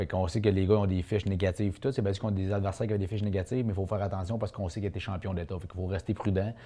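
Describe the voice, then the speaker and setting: A man's fairly low, somewhat breathy voice with a dark, mellow tone at a very fast pace. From Quebec, Charlevoix (Baie-Saint-Paul). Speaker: boxer. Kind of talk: interview.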